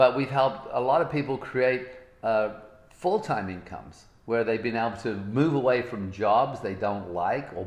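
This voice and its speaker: In a room with audible echo, a man with a medium-pitched voice speaks in an animated tone at a moderate pace, with ordinary pitch variation. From Britain. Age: 60s. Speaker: motivational speaker. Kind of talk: motivational talk.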